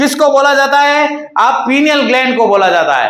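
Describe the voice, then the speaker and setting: Raised and projected, a man's extremely high voice carries a bright, sharp tone and ordinary pitch variation, with audible room echo around it. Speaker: paramedical teacher. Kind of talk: lecture. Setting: online class recording. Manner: repetitive, emphatic. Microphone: echo reported by viewer.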